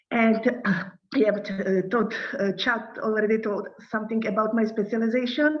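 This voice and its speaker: Amid audible room echo, a woman with a Czech accent and a fairly high pitch talks at a moderate pace with fairly even intonation. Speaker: NGO director. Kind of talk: lecture. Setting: video call. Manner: halting.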